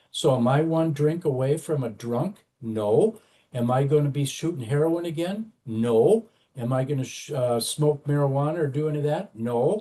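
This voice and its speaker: A man with a fairly high pitch talks at a moderate pace. His voice is somewhat breathy with a dark, mellow tone and ordinary pitch variation. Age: 70s. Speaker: former addict in long-term recovery, corrections worker. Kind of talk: interview testimony. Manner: halting, many fillers.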